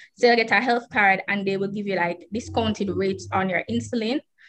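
In a Jamaican accent, a woman talks at a fairly quick pace with medium pitch and ordinary pitch variation. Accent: Jamaican patois. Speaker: person with type 1 diabetes. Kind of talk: interview.

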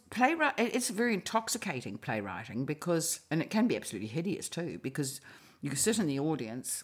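A New Zealand accent at a fairly quick pace, on a very clean recording with a silent background. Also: woman. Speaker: novelist and playwright. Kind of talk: casual interview chat.

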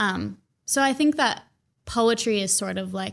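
An unremarkable speaking voice shows ordinary pitch variation on a very clean recording with a silent background. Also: woman. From Minnesota, suburbs of Minneapolis. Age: 20s. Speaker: poet and writer. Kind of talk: casual interview chat.

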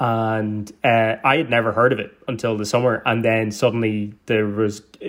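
A man with a Donegal accent and medium pitch. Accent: Donegal Irish. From Ireland, County Donegal. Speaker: actor and internet comedian. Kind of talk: casual chat.

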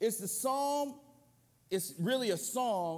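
A man speaks fairly slowly at an extremely high pitch with lively intonation. Audible room echo surrounds his voice. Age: 50s. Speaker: guest preacher, church board member. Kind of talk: sermon. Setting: church with congregation. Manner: loud, powerful delivery.

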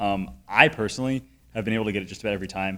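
A man with a Connecticut accent at a fairly low pitch and very fast pace, in a very clean recording with a silent background. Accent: Connecticut, general northeastern US. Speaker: tech podcast host. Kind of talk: casual conversational podcast chat.

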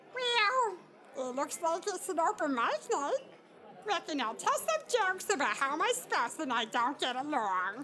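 A put-on character voice pitched high leaps through very wide pitch swings against clear background noise. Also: moderate pace. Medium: audio drama. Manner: folksy, genial.

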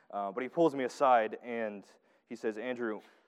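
Speaking at a moderate pace, a man with a Southern US accent has a medium pitch. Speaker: preacher. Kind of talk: sermon.

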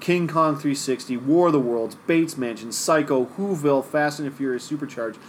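Delivered at a moderate pace with hardly any pauses, an ordinary speaking voice carries ordinary pitch variation. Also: man, fairly high pitch for a man. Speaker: podcast host. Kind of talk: casual chat.

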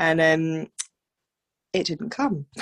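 A woman with a southern English accent talks at a fairly slow pace in a dry, close sound with no echo. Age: 30s. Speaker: midwife. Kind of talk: interview, personal story.

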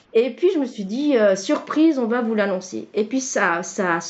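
Lively intonation runs through this woman's speech. She keeps a moderate pace. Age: 40s. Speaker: client, stay-at-home mother and former nurse. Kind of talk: testimony. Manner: halting, many hesitations and repetitions.

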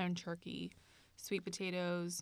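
A woman speaks with an American accent. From US, California Bay Area. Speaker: graduate student podcast co-host. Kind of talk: casual chat; explaining a diet program. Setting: campus studio.

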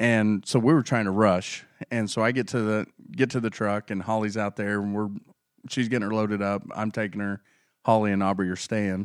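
Here is a man with an ordinary speaking voice, fairly low in pitch and fairly even in intonation. He speaks fairly quickly on a very clean recording with a silent background. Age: 30s. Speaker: podcast co-host. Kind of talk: casual chat.

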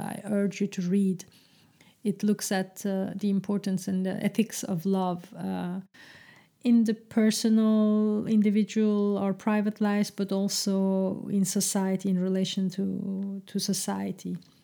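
A woman with a dark, mellow tone speaks in a flat, monotone way at a fairly slow pace, on a very clean recording with a silent background. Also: medium pitch for a woman. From Francophone Belgium, Turkish family. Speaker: podcaster, translator in the cultural sector. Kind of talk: solo monologue podcast. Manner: hesitant, many fillers and repetitions.

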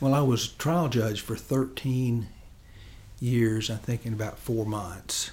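A somewhat breathy male voice at medium pitch with fairly even intonation, in a West Tennessee accent. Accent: Southern US (West Tennessee). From West Tennessee, Chester County. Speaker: state supreme court justice. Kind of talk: interview. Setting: studio.

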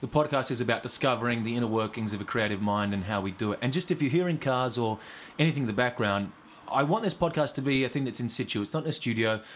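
This voice has an Australian accent. The pace is very fast. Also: man, medium pitch for a man, ordinary pitch variation. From Western Australia, Karratha. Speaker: podcast host. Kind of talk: casual chat.

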